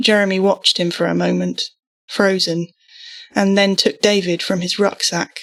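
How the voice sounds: The background is quiet as a passage is read in a natural reading voice.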